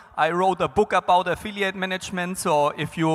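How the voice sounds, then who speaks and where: With music in the background, a man speaks at a high pitch and a moderate pace in a dry, close sound with no echo. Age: 40s. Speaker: business development consultant, conference speaker. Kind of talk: conference panel talk.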